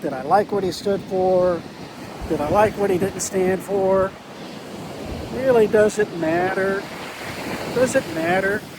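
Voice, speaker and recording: A man speaks at a high pitch and a fairly slow pace. Noticeable background noise sits behind him. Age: old. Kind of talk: casual talk to camera. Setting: outdoors. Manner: reflective.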